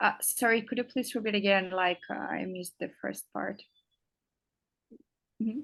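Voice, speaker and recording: At a moderate pace, a woman with a Russian accent and vocal fry speaks at a medium pitch with ordinary pitch variation and long, frequent pauses. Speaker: English teacher. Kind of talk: interview. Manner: halting, many fillers.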